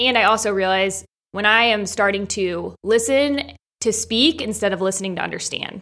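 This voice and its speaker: Her tone is bright and sharp. The woman is captured in a very clean recording with a silent background. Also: medium pitch for a woman, ordinary pitch variation, moderate pace. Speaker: podcast co-host. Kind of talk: casual chat. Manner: articulate.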